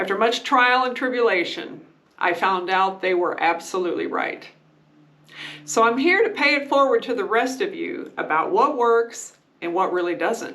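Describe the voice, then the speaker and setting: Audible room echo follows a woman whose fairly high voice swings very widely in pitch at a moderate pace. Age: 60s. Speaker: beauty and skincare vlogger. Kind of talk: casual tutorial talk to camera.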